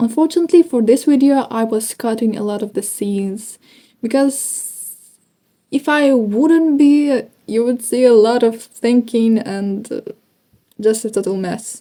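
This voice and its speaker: A woman's fairly high, dark, mellow voice with a Ukrainian accent, at a fairly slow pace. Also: ordinary pitch variation. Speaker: English learner vlogger. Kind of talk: speaking practice monologue. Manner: slow, hesitant.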